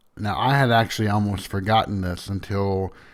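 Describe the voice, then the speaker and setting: Against a silent background on a very clean recording, a man speaks in a strong Southern US accent with fairly even intonation. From US South. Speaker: podcast host. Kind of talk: casual storytelling monologue.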